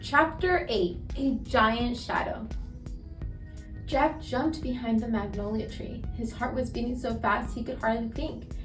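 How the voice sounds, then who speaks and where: A woman's high voice at a fairly slow pace, ordinary pitch variation, with music in the background. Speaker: storyteller. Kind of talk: children's read-aloud. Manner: calm, relaxed pace.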